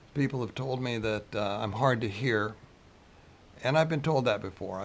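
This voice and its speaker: This man has a medium pitch and ordinary pitch variation. His pace is moderate. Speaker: video creator. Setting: close to camera.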